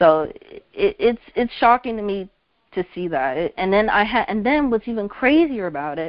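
A woman with a normal speaking voice, medium pitch and an American accent speaks with lively intonation. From central New Jersey. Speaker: college student caller. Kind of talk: call-in discussion.

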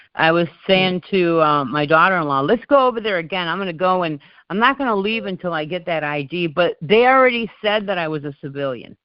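Speaking at a very fast pace with hardly any pauses, a woman uses lively intonation and a fairly low pitch. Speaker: call host. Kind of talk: community call discussion. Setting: phone call.

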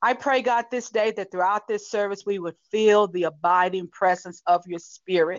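A woman with an American accent and a medium pitch, an unremarkable speaking voice, fairly even intonation, a moderate pace, and hardly any pauses. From US South. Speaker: pastor. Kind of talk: sermon.

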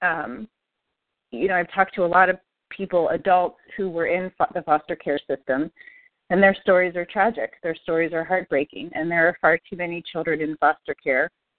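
A woman speaks in a plain, everyday voice, fairly low-pitched, with fairly even intonation at a moderate pace. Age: 40s. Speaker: podcast guest, listener, adoptee and parent. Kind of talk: personal testimony in interview.

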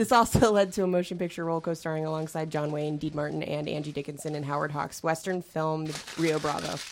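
A woman's very deep, low voice at a very fast pace, hardly any pauses, fairly even intonation and noticeable background noise. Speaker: podcast co-host. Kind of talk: casual chat.

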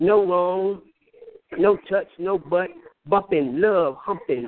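Someone with an American accent speaks at a very slow pace. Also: man. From US Midwest. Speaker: poet. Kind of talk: poetry reading. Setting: phone call.

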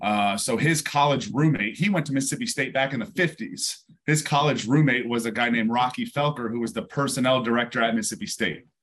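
Very fast, nearly pause-free speech from a man with an American accent, medium in pitch and lively in intonation. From New York, upstate near West Point. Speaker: former NFL player. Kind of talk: interview.

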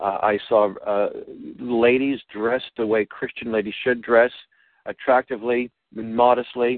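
A man with an ordinary speaking voice, moderate pace and ordinary pitch variation. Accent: American. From Boston, Massachusetts. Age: 60s. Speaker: radio host. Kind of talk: interview.

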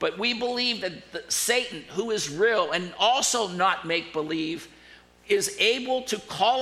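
A man uses a raised, projected voice, high in pitch with ordinary pitch variation. He speaks at a fairly slow pace amid audible room echo. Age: 60s. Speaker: pastor. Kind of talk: sermon.

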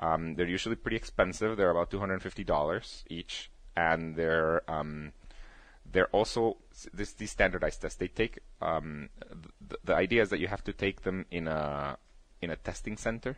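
A man speaks with a Spanish accent at a moderate pace. His pitch is very deep and low. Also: ordinary pitch variation. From Guatemala. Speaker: company founder and CEO. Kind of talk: casual interview.

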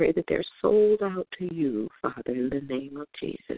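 A woman with a plain, everyday voice and a fairly low pitch speaks at a moderate pace. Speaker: prayer participant. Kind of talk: fervent prayer. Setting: phone conference call. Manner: earnest, repeating 'Father' between phrases.

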